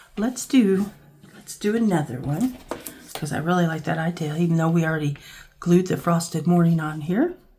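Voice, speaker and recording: Speech at a moderate pace with ordinary pitch variation and noticeable background noise. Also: woman, fairly low pitch for a woman. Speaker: crafting YouTuber. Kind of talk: craft tutorial. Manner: casual, thinking aloud.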